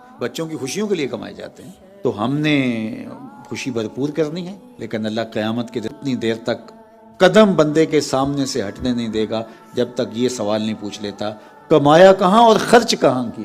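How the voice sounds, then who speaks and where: Music plays in the background as the voice moves with lively intonation. Its loudness swings widely. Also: man, medium pitch for a man. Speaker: Islamic preacher. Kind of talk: Islamic sermon.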